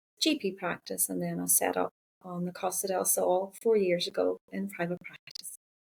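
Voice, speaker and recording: In a Northern Irish accent, a woman speaks at a moderate pace in a dry, close sound with no echo. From Northern Ireland. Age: 50s. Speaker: counsellor and psychotherapist. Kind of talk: podcast interview.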